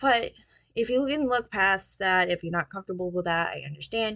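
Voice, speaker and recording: A woman talks at a fairly quick pace in a medium pitch, with ordinary pitch variation. The background is quiet, and the sound is dry and close with no echo. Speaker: book review podcast host. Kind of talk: casual book review monologue. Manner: hesitant, many fillers.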